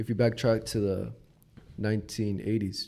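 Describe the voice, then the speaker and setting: A man with an American accent speaks in a dark, mellow tone at a fairly low pitch, his intonation flat and monotone. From United States, Mexican heritage. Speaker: assistant soccer coach, full-time worker. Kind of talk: casual chat.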